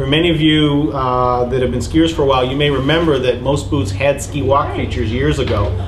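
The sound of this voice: A man talks at a medium pitch and a fairly quick pace. Background noise is clearly audible.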